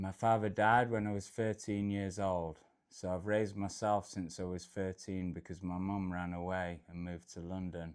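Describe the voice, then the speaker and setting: Against a quiet background, a man with a very deep, low pitch speaks in a flat monotone with hardly any pauses. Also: moderate pace. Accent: northern Midlands. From England, Derbyshire (Peak District). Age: 40s. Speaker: travel vlogger. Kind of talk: personal life story monologue. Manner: casual, with fillers.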